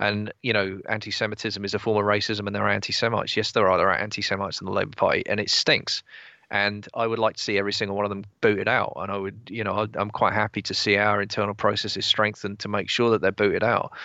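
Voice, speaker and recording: Very fast, monotone speech from a man with an English accent, fairly low in pitch, with hardly any pauses. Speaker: political commentator. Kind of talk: casual chat.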